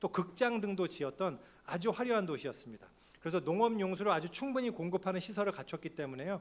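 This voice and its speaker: This man has a high pitch and lively intonation. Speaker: pastor. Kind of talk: sermon. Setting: church. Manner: fast.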